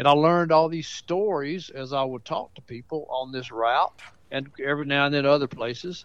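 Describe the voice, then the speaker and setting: A fairly high-pitched man with a Southern US accent, ordinary pitch variation and a moderate pace. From Mount Pleasant, Tennessee. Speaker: author. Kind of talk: storytelling. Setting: phone call.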